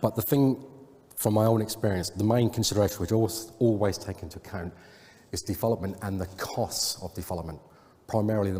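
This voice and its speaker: A man's very fast, somewhat breathy voice, dark and mellow in tone, with fairly even intonation and an English accent. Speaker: software consultant. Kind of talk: conference talk.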